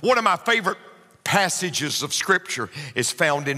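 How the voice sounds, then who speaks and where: In a Southern US accent, a man speaks at a fairly slow pace with a bright, sharp tone. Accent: Southern US (Georgia). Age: 50s. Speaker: pastor. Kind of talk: sermon.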